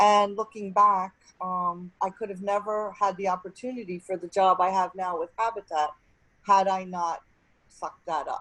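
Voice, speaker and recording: A woman's bright, sharp voice at medium pitch, with fairly even intonation and a moderate pace. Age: 60s. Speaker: nonprofit executive director. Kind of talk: panel discussion.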